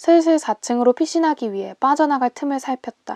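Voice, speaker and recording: A woman speaks at a moderate pace with lively intonation and a dark, mellow tone. The sound is dry and close with no echo, over a quiet background. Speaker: singer-songwriter. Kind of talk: audiobook novel reading for sleep.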